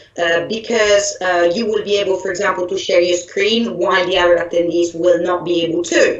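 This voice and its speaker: A woman with an Italian accent at a moderate pace, audible room echo and noticeable background noise. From Italy. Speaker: software trainer. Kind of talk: online training presentation. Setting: live online event. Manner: hesitant with fillers and restarts.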